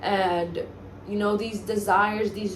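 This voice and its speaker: Recorded with audible room echo and noticeable background noise, a woman talks at a medium pitch. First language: Spanish. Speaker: self-help vlogger. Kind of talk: motivational monologue. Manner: halting, stumbles over words.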